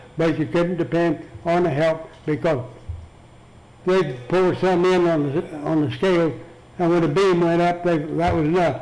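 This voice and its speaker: A man with an American accent and a high voice, fairly even intonation and very even loudness, set against noticeable background noise and audible room echo. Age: 80s+. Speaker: retired feed store manager. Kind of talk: oral history interview. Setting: care center interview room. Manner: halting.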